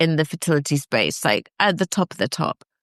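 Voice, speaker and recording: A woman speaks at a moderate pace with a quiet background behind her. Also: dry, close sound with no echo. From northern England. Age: 50s. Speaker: fertility expert. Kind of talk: podcast interview. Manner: animated.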